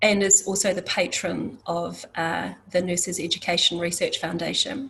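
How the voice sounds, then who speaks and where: The speech moves at a fairly slow pace with fairly even intonation over noticeable background noise. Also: woman. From New Zealand, Māori. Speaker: nursing organisation leader. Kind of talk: panel introduction. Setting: conference panel. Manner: halting.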